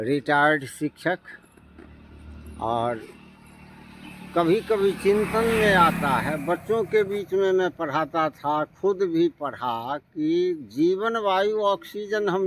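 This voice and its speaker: Noticeable background noise accompanies a man's voice. His pitch is high and his intonation lively. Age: 60s. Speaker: retired teacher. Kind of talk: interview.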